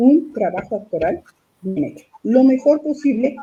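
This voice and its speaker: A woman speaks with vocal fry. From Mexico City. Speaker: puppeteer and theatre director. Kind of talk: interview answer.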